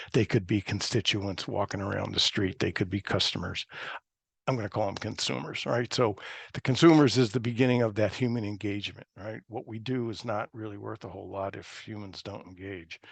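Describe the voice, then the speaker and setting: A man speaks at a fairly quick pace with ordinary pitch variation. The sound is dry and close with no echo, and his loudness swings widely. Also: fairly low pitch for a man, quiet background. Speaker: presenter at a GIS webinar. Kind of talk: webinar presentation. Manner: fast.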